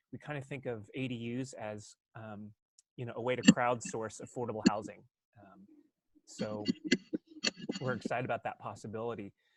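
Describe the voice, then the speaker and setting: A soft-spoken man at a medium pitch and moderate pace, with ordinary pitch variation, big swings in loudness, and long, frequent pauses. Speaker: housing subcommittee member. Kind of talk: presentation. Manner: halting. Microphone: too quiet.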